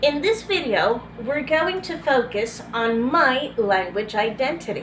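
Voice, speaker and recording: A woman with a Venezuelan accent and a high pitch speaks at a fairly slow pace amid audible room echo. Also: lively intonation. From Venezuela, Barcelona, Anzoátegui coastal region. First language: Spanish. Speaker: graduate student. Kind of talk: class presentation video. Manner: halting with self-corrections.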